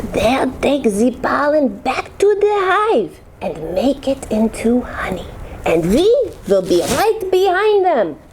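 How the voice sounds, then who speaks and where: With clear background noise, a woman performs a put-on character voice at a high pitch, with very wide pitch swings and a fairly slow pace. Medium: read story. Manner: cheerful, lively.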